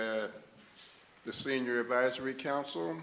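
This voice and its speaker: A man with an American accent, medium-pitched and fairly slow, with audible room echo and music in the background. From Newark/East Orange, New Jersey. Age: 80s+. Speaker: retired social services worker, board nominee. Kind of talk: formal self-introduction at public meeting. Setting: public meeting hall. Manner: halting, many fillers.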